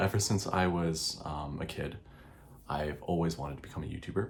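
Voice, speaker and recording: Quiet and very deep, a man with an American accent talks at a fairly quick pace, with audible room echo around him. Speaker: YouTuber. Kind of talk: casual vlog monologue. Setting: home recording at night. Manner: hesitant, many fillers.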